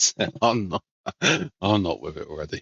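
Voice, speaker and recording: This man speaks in a relaxed tone with lively intonation and some vocal fry. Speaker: video game streamer. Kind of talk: casual chat.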